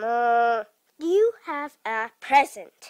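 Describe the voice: This is a cartoonish character voice, female-sounding. It sits high in pitch for a woman.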